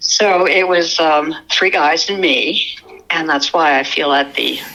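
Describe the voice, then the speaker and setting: At a very slow pace, a woman speaks in a fairly low pitch with fairly even intonation. Background noise is noticeable. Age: 70s. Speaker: eyewitness sharing an encounter. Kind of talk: interview testimony.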